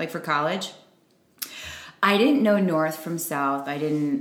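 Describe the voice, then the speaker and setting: A woman's lively intonation at a moderate pace, with noticeable background noise. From Chicago area, US Midwest. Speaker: podcast co-host. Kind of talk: casual chat.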